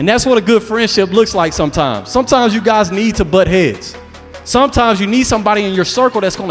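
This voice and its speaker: Music plays in the background as a man with a high pitch speaks at a fairly quick pace in an energetic, playful tone with lively intonation. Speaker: motivational speaker. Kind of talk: motivational speech to a young audience. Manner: energetic, emphatic, playful asides.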